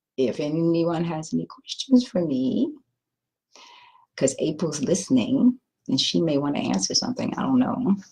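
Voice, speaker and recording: At a moderate pace, a woman with a dark, mellow tone and fairly low pitch speaks with vocal fry, very wide pitch swings, and long, frequent pauses. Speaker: retreat participant. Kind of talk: casual talk to an online audience.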